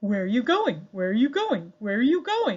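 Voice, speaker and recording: A female-sounding, put-on character voice comes through at a fairly high pitch. The pace is moderate. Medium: read story. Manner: eager, repetitive.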